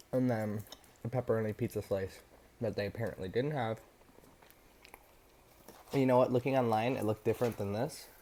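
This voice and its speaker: Speaking at a fairly quick pace but with long, frequent pauses, a man uses a dark, mellow tone and fairly even intonation. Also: medium pitch for a man. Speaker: mukbang food channel host. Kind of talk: casual talk to camera. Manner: casual, rambling, eating while talking.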